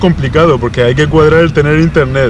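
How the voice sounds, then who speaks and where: A man's fairly high voice with ordinary pitch variation, at a fairly quick pace, amid noticeable background noise. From Spain. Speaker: youtuber. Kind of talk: casual interview.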